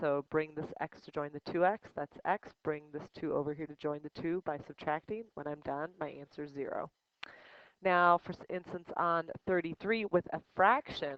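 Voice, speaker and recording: A plain, everyday voice from a woman, fairly low-pitched, at a moderate pace, with ordinary pitch variation and big swings in loudness. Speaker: high school math teacher. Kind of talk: tutorial.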